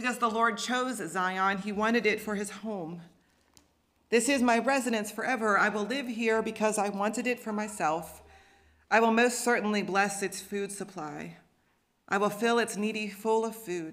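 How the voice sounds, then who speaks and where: Her intonation stays fairly even at a moderate pace. Behind the woman, all is quiet. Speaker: pastor. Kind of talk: scripture reading then sermon. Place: church. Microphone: podium.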